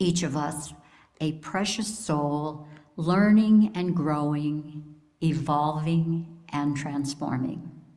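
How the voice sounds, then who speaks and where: A dark, mellow, warm tone with audible room echo. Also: woman. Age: 70s. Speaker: lay speaker at church service. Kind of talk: sermon. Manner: warm, reflective.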